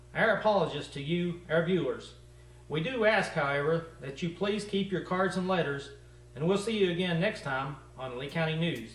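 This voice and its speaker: A high-pitched man with an American accent and ordinary pitch variation, against noticeable background noise. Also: moderate pace. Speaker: comedy news anchor. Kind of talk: mock local TV news read.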